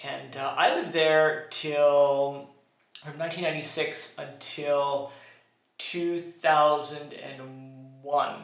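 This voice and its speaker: A man's fairly high voice in a Canadian accent, very slow, with long, frequent pauses, monotone, flat intonation and big swings in loudness, music in the background and audible room echo. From Canada, Montreal. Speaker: vlogger, co-host. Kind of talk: casual chat.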